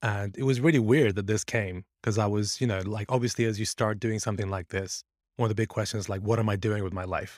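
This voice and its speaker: A man rattles along at a very fast pace in a dry, close sound with no echo and a very clean recording with a silent background. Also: fairly low pitch for a man, fairly even intonation. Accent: British. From born in Iran, grew up in the UK. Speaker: product management coach. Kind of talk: casual interview conversation.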